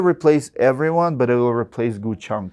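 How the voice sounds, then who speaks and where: In a Russian accent, a man speaks at a moderate pace and medium pitch. The background is quiet. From Russia (Siberia). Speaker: roofing contractor. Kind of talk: podcast interview. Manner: halting.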